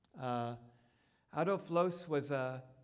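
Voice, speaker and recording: Room echo is audible around a man's voice. He speaks at a very slow pace in a fairly high pitch. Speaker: architect giving a public lecture. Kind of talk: lecture. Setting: lecture hall with projected slides. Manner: self-aware of pacing, slightly slow.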